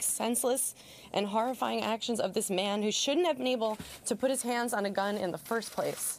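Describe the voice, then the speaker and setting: A woman's fairly high voice, ordinary pitch variation, a fairly quick pace and light background noise. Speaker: comedian and actress. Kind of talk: press conference statement. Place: meeting room. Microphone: podium.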